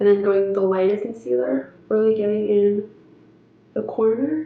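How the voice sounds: Vocal fry runs through speech at a moderate pace, with fairly even intonation and audible room echo. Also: woman.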